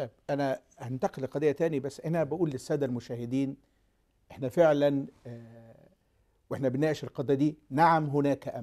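Against a quiet background, a man with a fairly high pitch talks at a moderate pace in a dark, mellow tone with fairly even intonation. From Egypt. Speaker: TV talk show host and pastor; TV talk show host, pastor. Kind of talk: TV talk show hosting. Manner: formal. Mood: earnest, hopeful. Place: studio. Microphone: lapel.

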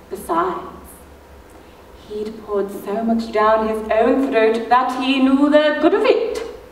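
A woman speaks at a very slow pace with ordinary pitch variation. Audible room echo and light background noise are present. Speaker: actor performing a monologue. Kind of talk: theatrical monologue. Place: stage. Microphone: camera far.

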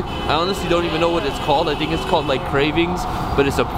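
The speech comes at a very fast pace. Loud background noise sits under a dry sound with no echo. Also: man. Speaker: vlogger. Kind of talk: casual vlog chat. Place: street. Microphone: phone near.

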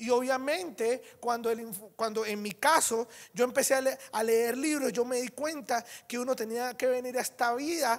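A man's animated voice at an extremely high pitch, with ordinary pitch variation. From Venezuela. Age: 30s. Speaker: network marketing speaker; conference speaker. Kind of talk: motivational talk. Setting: stage with audience. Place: hall.

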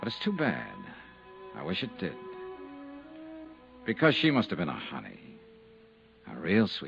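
In a put-on character voice with vocal fry and a husky, rough edge, the speaker moves at a fairly slow pace with very wide pitch swings and long, frequent pauses while faint music plays in the background. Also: man, low pitch for a man, fairly bright tone.

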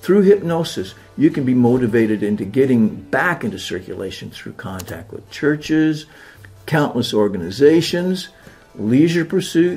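A man speaks at a fairly slow pace with very wide pitch swings. Music plays in the background. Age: old. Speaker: hypnotist. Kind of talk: promotional talk to camera.

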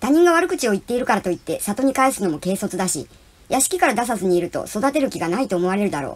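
The text is delivered in an unforced reading voice.

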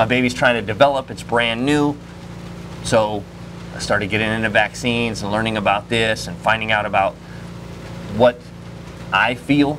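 With an American accent, a man speaks at a fairly low pitch with fairly even intonation and long, frequent pauses, noticeable background noise behind him. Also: moderate pace. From Florida. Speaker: security guard and firearms trainer; interviewee. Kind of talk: interview. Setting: trade show. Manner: casual, filler-heavy. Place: open country.

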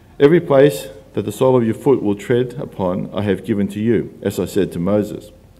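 A man's dark, mellow tone moves at a fairly quick pace. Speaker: scripture reader. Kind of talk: scripture reading. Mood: calm, measured. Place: church. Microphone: podium.

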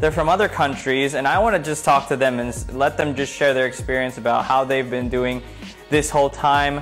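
A man speaks with faint music in the background. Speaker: show host. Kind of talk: casual live-stream chat. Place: home room. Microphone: phone near.

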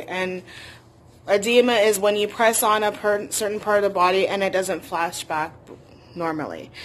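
Speaking at a moderate pace, a woman keeps her intonation fairly even. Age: 20s. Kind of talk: personal story vlog. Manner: hesitant with frequent fillers. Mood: earnest, personal, somewhat sad. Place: home room. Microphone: phone near.

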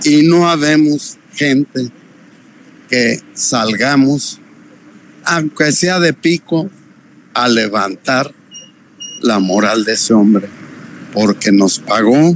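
Over light background noise, a man talks at a very slow pace with lively intonation and long, frequent pauses, the sound dry with no echo. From Mexico. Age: 80s+. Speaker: interviewee, 81-year-old man. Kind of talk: interview answer. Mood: aggrieved, disappointed. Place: street. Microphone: handheld.

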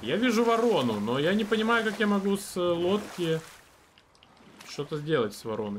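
A man with a high voice talks at a moderate pace, with very wide pitch swings, big swings in loudness, long, frequent pauses and light background noise. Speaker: game streamer. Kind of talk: live gameplay stream commentary with chat; casual gameplay commentary. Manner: casual, filler-heavy with repetitions. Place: home room.

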